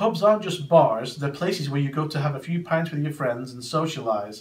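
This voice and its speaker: In an American accent, a man with a fairly high pitch talks at a moderate pace, sounding somewhat breathy. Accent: English accent, somewhat muddled by American. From northwest England (Preston, Lancashire). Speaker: expat answering questions for a class. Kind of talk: scripted Q&A presentation. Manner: stiff, unnatural delivery.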